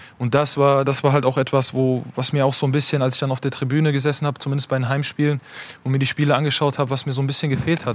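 A man's fairly high voice at a very fast pace, monotone and flat in intonation. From Germany. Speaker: football goalkeeper. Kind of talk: talk show interview.

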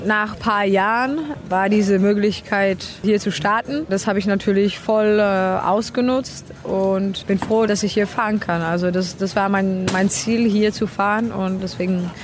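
Speaking at a fairly slow pace with hardly any pauses, a woman with a Czech accent keeps a medium pitch and fairly even intonation over noticeable background noise. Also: very even loudness. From Czech Republic. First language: Czech (speaking German). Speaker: racing driver. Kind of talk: interview. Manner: halting.

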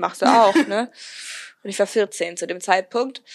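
The recording is dry and close, with no echo. A woman speaks with ordinary pitch variation. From Germany. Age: young. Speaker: podcaster, recent school graduate. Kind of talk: casual interview.

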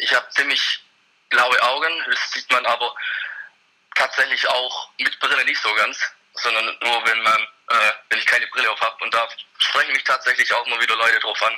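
Long pauses come often in this man's speech. Between them, he keeps a moderate pace. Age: 20s. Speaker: single man introduced for matchmaking; snowboard instructor. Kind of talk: interview.

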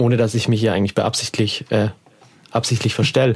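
The man speaks at a very fast pace. His pitch is medium. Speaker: podcast host. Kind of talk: casual chat. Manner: mumbling.

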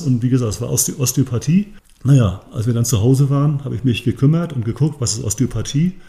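Speaking at a very fast pace, a man with a medium pitch and a dark, mellow tone sounds somewhat breathy, his pitch varying in an ordinary way. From northern Germany, Rostock. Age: 60s. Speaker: sports scientist and osteopathic therapist, former athlete. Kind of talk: podcast interview, explanatory.

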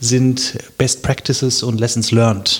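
A somewhat breathy male voice. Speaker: local election candidate. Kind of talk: casual interview.

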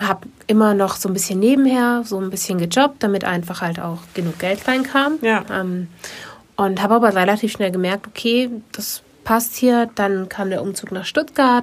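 Ordinary pitch variation in a plain, everyday voice, moving at a moderate pace. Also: woman, medium pitch for a woman. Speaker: podcast co-host and photographer. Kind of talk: casual chat.

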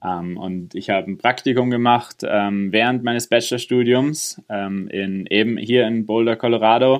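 Speaking at a fairly slow pace with hardly any pauses, a man holds a medium pitch and fairly even intonation. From Innsbruck, Austria, then Germany. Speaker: space engineer. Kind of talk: interview. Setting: remote internet call.

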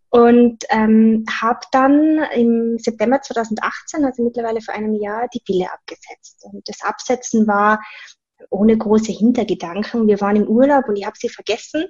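With a slight Tyrolean accent, a woman talks at a moderate pace and a fairly high pitch, her pitch varying in an ordinary way while her loudness swings widely. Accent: slight Tyrolean Austrian. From Austria, Tyrol. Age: 20s. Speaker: personal trainer. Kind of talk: casual interview.

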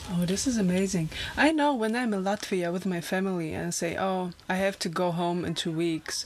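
Over noticeable background noise, a woman with a German accent speaks at a medium pitch with ordinary pitch variation. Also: moderate pace. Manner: animated, enthusiastic.

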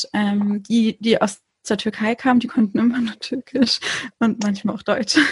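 Fairly even intonation comes with a somewhat breathy quality. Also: woman, fairly high pitch for a woman, moderate pace. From Konstanz, southern Germany (Turkish family). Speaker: podcaster. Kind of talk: casual chat.

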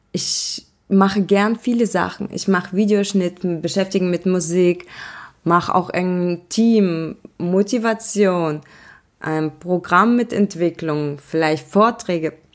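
A woman at a medium pitch and a very slow pace. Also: ordinary pitch variation. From Germany, born in Russia. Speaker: podcast host, entrepreneur. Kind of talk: casual monologue.

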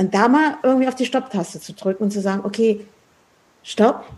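A woman's medium-pitched voice has a dark, mellow tone and a somewhat breathy quality. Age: 50s. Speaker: podcast host and architect. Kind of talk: casual chat. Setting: in person, sitting face to face.

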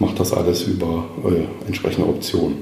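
The voice belongs to a man. Room echo is audible around it. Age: 40s. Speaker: mortgage broker. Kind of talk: casual interview. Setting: office.

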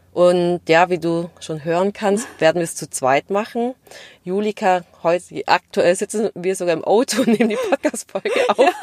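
A woman with a slight Swabian accent speaks at a medium pitch with ordinary pitch variation. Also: moderate pace, dry, close sound with no echo. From Stuttgart area, Swabia (Vietnamese family). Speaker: podcast co-host, corporate employee. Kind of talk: casual chat.

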